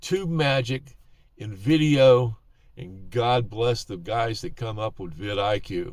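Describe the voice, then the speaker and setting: The pace is very slow. The intonation is lively. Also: man. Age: 70s. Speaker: YouTuber giving advice to older creators. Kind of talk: casual talk-to-camera advice. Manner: hesitant, many fillers.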